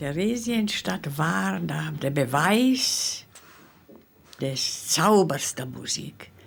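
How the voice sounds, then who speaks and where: A woman speaks very slowly in a very deep, low voice with very wide pitch swings over noticeable background noise. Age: 90s. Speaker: Holocaust survivor musician. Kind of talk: interview testimony.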